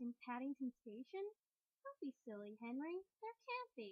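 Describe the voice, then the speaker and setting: A woman performs a put-on character voice with a high pitch and very wide pitch swings. She talks at a moderate pace. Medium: read story.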